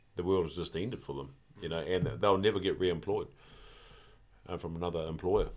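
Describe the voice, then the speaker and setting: Talking at a fairly quick pace with a New Zealand accent, a man uses a very deep, low pitch, ordinary pitch variation and long, frequent pauses. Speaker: former rugby player. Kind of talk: casual chat. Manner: halting.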